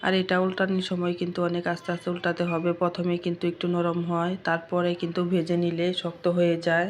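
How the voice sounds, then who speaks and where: A woman's fairly low, monotone, flat voice at very even loudness, with noticeable background noise. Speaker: cooking vlogger. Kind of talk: cooking tutorial. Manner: casual, chatty.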